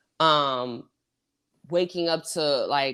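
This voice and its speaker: At a very slow pace, a woman speaks with a very deep, low pitch in a very clean recording with a silent background. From US South, Houston, Texas. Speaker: podcast host. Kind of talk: casual chat. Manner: halting, many false starts and fillers.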